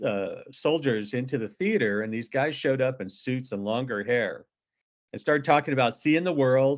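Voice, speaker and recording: A man with a normal speaking voice and an American accent, medium pitch, moderate pace and ordinary pitch variation. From Northern California. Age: 60s. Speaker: novelist and military veteran. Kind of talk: casual interview. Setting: podcast.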